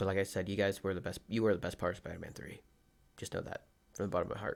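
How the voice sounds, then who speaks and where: A man's fairly low voice, very fast and monotone, with flat intonation. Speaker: podcast host. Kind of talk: casual podcast monologue. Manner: words bunched together, fast; rambling, hesitant with fillers.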